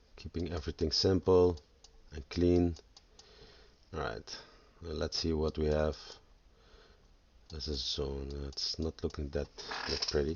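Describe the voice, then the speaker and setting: Speaking in a Dutch accent, a man has a very deep, low pitch and a somewhat breathy voice with fairly even intonation. His pace is fairly slow, with long, frequent pauses. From Netherlands. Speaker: forex trader. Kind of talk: tutorial. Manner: halting.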